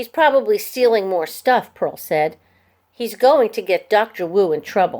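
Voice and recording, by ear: The voice is reading aloud in a natural voice against a quiet background.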